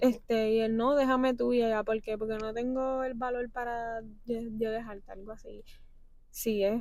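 Her intonation monotone and flat, a woman speaks at a fairly high pitch and a moderate pace. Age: 20s. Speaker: podcast guest. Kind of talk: casual chat.

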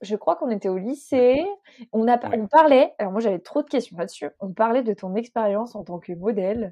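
A woman talks at a fairly quick pace with lively intonation. Hers is an ordinary speaking voice. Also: fairly high pitch for a woman. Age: 20s. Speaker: podcast host. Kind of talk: interview.

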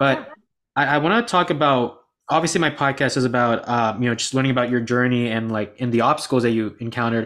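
With ordinary pitch movement, a man talks very rapidly. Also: medium pitch for a man. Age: 20s. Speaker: podcast host. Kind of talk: interview.

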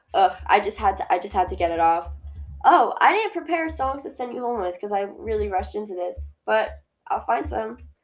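A woman's animated voice at a fairly quick pace over background music. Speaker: podcast host. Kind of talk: angry rant about posthumous albums, passionate opinionated monologue; casual solo podcast monologue. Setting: solo home-recorded podcast. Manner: animated, fast and heated, ranting with exasperation; casual, rambling, self-interrupting.

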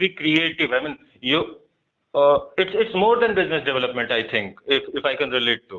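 The speaker is a man. He talks at a moderate pace. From eastern Uttar Pradesh (Ballia). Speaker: podcast host. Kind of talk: interview.

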